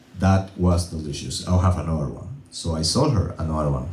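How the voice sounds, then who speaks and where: A man with a Venezuelan accent speaks in an animated tone with audible room echo. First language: Spanish. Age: 30s. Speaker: comedian. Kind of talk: stand-up. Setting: stage with audience.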